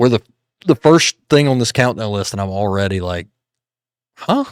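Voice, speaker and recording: A normal speaking voice with lively intonation, dry and close with no echo, on a very clean recording with a silent background. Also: man. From United States. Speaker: reaction youtuber. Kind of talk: casual reaction commentary.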